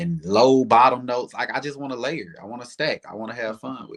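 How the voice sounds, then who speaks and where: Speaking with a Southern accent at a fairly quick pace, a man is heard on a very clean recording with a silent background. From US South, Alabama. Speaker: R&B singer. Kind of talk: casual interview chat.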